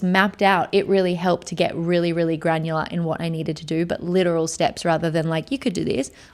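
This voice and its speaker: Speaking very fast in an animated tone, a woman with an Australian accent has a fairly low pitch. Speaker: podcast host and motion director. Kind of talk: casual solo podcast monologue. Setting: studio.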